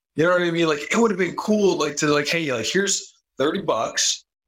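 A man speaks with vocal fry. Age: 20s. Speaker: college student and podcast guest. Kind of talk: casual chat.

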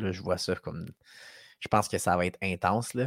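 A man in a Quebec accent speaks with fairly even intonation, recorded very cleanly against a silent background with a dry, close sound and no echo. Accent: Québécois French. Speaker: sales expert and podcast host. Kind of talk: casual chat.

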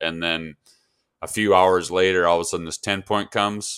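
The recording is very clean with a silent background. The voice has a bright, sharp tone and a monotone, flat intonation at a moderate pace. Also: man. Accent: Upper Midwest US. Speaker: hunting podcast co-host. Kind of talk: casual chat.

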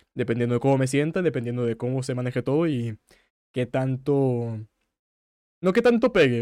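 The sound is dry and close, with no echo. A man speaks at medium pitch in a dark, mellow tone. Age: 20s. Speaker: streamer and podcaster. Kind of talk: casual solo podcast with live chat. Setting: live stream. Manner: fast.

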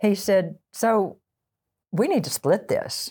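A woman's dark, mellow tone with a Texan accent. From Texas (small town near the Red River). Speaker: associate pastor, former English teacher. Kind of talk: interview conversation.

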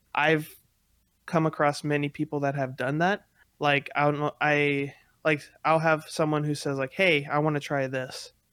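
The delivery is monotone, with flat intonation. The recording is very clean, with a silent background. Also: man, moderate pace. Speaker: video game streamer, podcast co-host. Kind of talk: casual chat.

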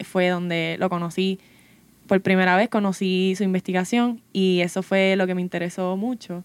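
Recorded with a dry, close sound and no echo, a woman speaks at a fairly slow pace. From Puerto Rico, Santa Isabel. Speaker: undergraduate biology student. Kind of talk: casual panel conversation.

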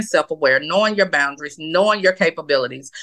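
At a moderate pace, a woman speaks in a bright, sharp tone at medium pitch with lively intonation, the sound dry and close with no echo over a quiet background. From US South, Atlanta. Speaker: intimacy coach. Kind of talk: casual chat.

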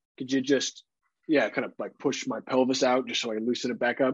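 This man has a plain, everyday voice with a fairly high pitch. He speaks at a fairly quick pace. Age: 30s. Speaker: podcast co-host, father. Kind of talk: casual chat.

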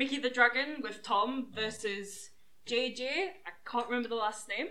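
Someone talks at a moderate pace with ordinary pitch variation, and noticeable background noise can be heard. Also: woman. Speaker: wrestling show reviewer. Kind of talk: casual chat.

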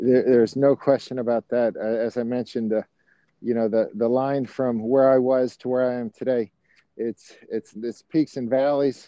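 Speaking with an American accent, a man keeps a medium pitch and monotone, flat intonation. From Miami, Florida. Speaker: personal injury lawyer. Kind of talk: interview.

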